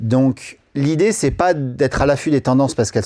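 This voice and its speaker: On a very clean recording with a silent background, a man talks at a moderate pace with medium pitch and a dark, mellow tone. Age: 40s. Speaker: wedding photographer. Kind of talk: podcast interview. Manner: casual, animated.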